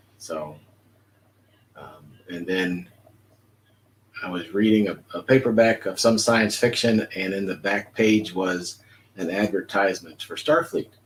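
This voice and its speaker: With an American accent, a man of fairly low pitch talks at a fairly slow pace with ordinary pitch variation, long and frequent pauses, and big swings in loudness. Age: 60s. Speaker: retired police officer, fan club member. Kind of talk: interview. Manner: halting with fillers.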